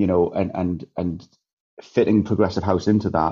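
A man's very deep, low voice in a Geordie accent, monotone with flat intonation. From northern England, Newcastle. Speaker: DJ and event promoter. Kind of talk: casual interview chat.

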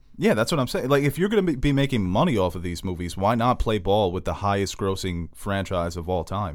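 Speaking fairly quickly with hardly any pauses, a man has an unremarkable speaking voice, a fairly low pitch and lively intonation. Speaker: podcast host. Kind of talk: casual banter podcast. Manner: joking, teasing.

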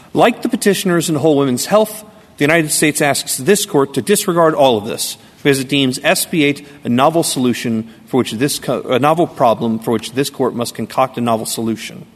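Against noticeable background noise, a man with a fairly high pitch talks at a fairly quick pace with lively intonation and hardly any pauses. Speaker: state lawyer arguing a case. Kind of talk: appellate oral argument. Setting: courtroom.

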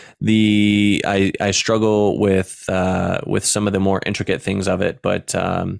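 In a very clean recording with a silent background, a man talks in a monotone, flat intonation. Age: 30s. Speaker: Twitch streamer. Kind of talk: casual chat.

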